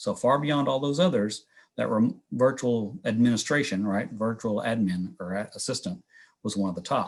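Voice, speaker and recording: A man speaks at a medium pitch with lively intonation. The recording is very clean and the background silent. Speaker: workforce development presenter. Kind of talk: presentation. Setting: virtual workshop. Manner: fast.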